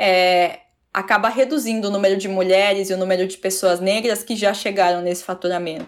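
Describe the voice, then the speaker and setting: In a very clean recording with a silent background, a woman with a plain, everyday voice speaks at a medium pitch and a moderate pace, with ordinary pitch variation. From Curitiba region, Paraná, Brazil. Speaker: journalist and podcast host. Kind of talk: interview conversation.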